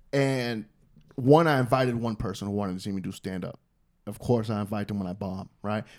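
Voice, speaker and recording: A man with a New York accent, fairly low in pitch, at a fairly quick pace with ordinary pitch variation. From New York City. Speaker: stand-up comedian. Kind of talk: casual chat.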